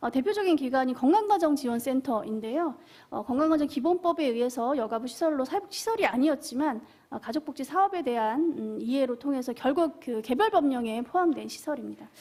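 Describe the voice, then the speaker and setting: With a dark, mellow tone and high pitch, a woman speaks at a fairly quick pace with lively intonation. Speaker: social work association manager, panel discussant. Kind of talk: panel discussion remarks. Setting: seminar room at a public forum. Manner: fast; hesitant with fillers.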